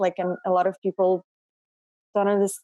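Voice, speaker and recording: In a Russian accent, the voice comes through dry and close with no echo on a very clean recording with a silent background. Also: woman. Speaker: actress and model. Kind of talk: interview conversation.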